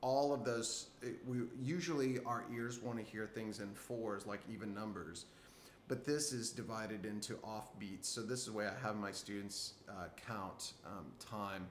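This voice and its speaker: A man talks fairly slowly while room echo is audible and a little noise sits in the background. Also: fairly low pitch for a man, ordinary pitch variation. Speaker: guitar teacher. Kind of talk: tutorial. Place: home room. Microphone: phone near.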